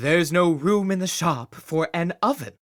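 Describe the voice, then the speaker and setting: In a put-on character voice pitched high, a man speaks at a moderate pace. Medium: read story. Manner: warm, brisk.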